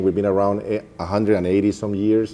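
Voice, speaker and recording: A man with a dark, mellow tone talks at a fairly quick pace and a fairly low pitch. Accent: strong Colombian. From Colombia. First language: Spanish. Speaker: bank executive. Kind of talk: interview.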